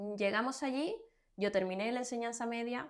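A woman with a Cuban accent talks at a moderate pace. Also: very clean recording, silent background. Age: 20s. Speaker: fashion model. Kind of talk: casual interview.

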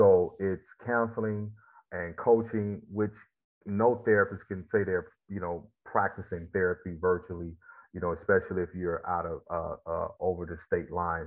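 Fairly even intonation at a moderate pace, in a Mississippi accent. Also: man, fairly low pitch for a man. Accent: Southern US (Mississippi). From US South, Mississippi Delta. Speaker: former football player, motivational speaker and therapist. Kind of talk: interview.

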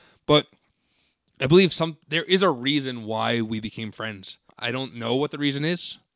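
A man with an American accent and a plain, everyday voice speaks at a medium pitch and a moderate pace, with ordinary pitch variation. The sound is dry and close, with no echo. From New Jersey. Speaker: high school English teacher and podcast host. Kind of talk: casual chat.

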